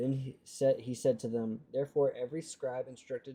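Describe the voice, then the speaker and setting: This man mumbles at a moderate pace in a somewhat breathy voice with a dark, mellow tone and ordinary pitch variation. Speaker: streamer reading the Bible aloud. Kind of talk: reading aloud with live stream chat. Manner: mumbling; halting, stumbling over words.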